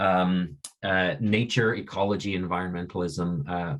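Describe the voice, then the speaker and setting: A man speaks with a Canadian accent. His pitch is very deep and low, and the background is quiet. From Canada. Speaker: science communicator. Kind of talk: webinar talk. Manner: halting, many fillers. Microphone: video call.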